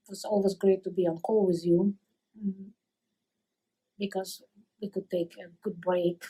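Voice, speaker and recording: A woman's somewhat breathy voice with a dark, mellow tone and a Russian accent, fairly slow, with long, frequent pauses, big swings in loudness and monotone, flat intonation. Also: medium pitch for a woman. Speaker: coworker of retiree. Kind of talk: recorded farewell message. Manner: halting.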